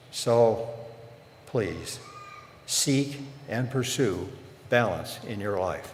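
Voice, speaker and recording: A medium-pitched man speaking very slowly with long, frequent pauses and ordinary pitch variation, with audible room echo and noticeable background noise. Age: 90s. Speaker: commencement speaker, former university president. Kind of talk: commencement address.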